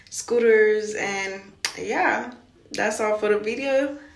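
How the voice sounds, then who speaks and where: Speaking at a very slow pace, a woman keeps her intonation fairly even, with audible room echo around her. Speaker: vlogger. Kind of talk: casual vlog chat. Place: bathroom. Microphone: phone near.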